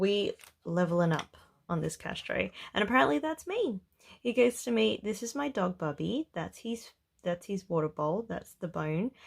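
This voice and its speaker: A woman speaks at a moderate pace with an Australian accent. Her medium-pitched voice moves in very wide pitch swings. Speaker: budgeting vlogger. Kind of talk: casual vlog commentary. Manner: mellow, relaxed.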